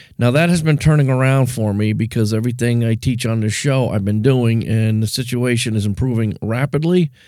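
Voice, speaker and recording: In a very clean recording with a silent background, a man with a dark, mellow tone speaks at a fairly quick pace with hardly any pauses. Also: medium pitch for a man, ordinary pitch variation. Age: 50s. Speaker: podcast host. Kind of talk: solo monologue.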